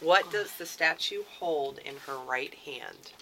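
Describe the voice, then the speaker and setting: Speaking at a fairly slow pace, a woman has an unremarkable speaking voice with ordinary pitch variation. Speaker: radio co-host, library communications staff. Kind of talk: casual radio talk show chat. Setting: radio studio.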